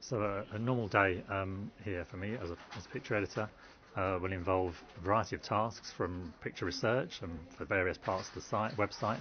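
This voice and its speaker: A man speaks with a very deep, low pitch and fairly even intonation. His pace is fairly quick, with light background noise behind him. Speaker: picture editor at a news website. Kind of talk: interview answer. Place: booth.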